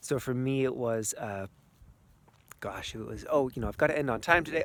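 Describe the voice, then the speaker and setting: Ordinary pitch variation at a fairly quick pace. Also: man. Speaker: energy healer and coach. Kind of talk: outdoor vlog talk to camera. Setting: outdoors in snow. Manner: fast.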